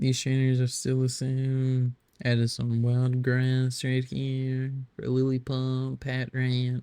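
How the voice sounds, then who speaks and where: A man's medium-pitched, dark, mellow voice, very slow and monotone with flat intonation. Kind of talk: casual gameplay commentary. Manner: hesitant, stuttering.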